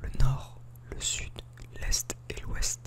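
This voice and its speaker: The man speaks in a whisper. There's noticeable background noise as well. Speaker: ASMR creator. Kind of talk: whispered book reading (ASMR). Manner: whispered.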